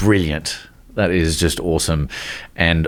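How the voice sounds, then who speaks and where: A man speaks with an Australian accent and a very deep, low pitch. His pace is fairly slow and his intonation fairly even. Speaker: podcast host. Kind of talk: podcast interview host.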